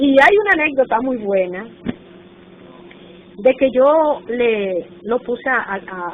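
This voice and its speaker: This woman has a Dominican accent and a fairly high pitch, with very wide swings in pitch. Background noise is noticeable. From Dominican Republic, northern coast (Montecristi/Puerto Plata). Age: 60s. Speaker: retired teacher and textbook author. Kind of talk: oral history interview. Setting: national archive office.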